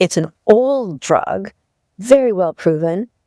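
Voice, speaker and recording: A woman's dark, mellow tone is heard dry and close, with no echo. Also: very clean recording, silent background. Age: 80s+. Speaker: author, diabetes health advocate. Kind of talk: interview.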